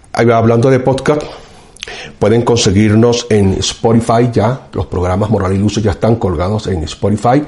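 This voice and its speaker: A man's medium-pitched voice, fairly slow, with ordinary pitch variation and noticeable background noise. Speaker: professor and show host. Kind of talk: political commentary monologue.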